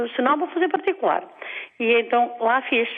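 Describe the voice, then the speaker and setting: A woman's high-pitched voice at a fairly quick pace, with very wide pitch swings and noticeable background noise. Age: 60s. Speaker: caller. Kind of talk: phone-in call. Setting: phone call. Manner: hesitant, rambling speech with fillers.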